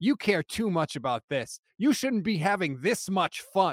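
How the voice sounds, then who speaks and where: A man talks in a high pitch with very wide pitch swings. He keeps a moderate pace. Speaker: football podcaster and fan. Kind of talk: casual banter about football.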